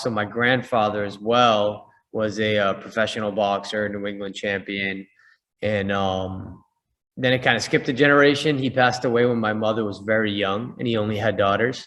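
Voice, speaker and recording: A man with an American accent uses an ordinary speaking voice, fairly low in pitch, at a moderate pace. His intonation is fairly even, and the background is quiet. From US Northeast, Boston. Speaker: boxing coach and fitness entrepreneur. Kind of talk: interview.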